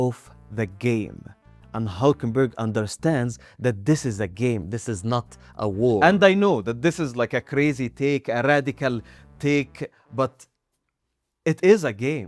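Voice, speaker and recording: Speaking with a non-native accent at a medium pitch, a man talks at a fairly slow pace with long, frequent pauses, his animated tone and lively intonation captured in a dry, close sound with no echo. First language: not English. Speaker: anime video essayist. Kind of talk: video essay commentary.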